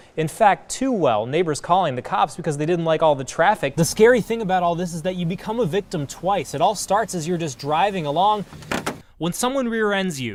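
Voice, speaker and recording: Over noticeable background noise, a man with a high pitch speaks fairly quickly, his intonation lively. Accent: American. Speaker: TV news anchor and reporter. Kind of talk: news package voiceover and live reporting.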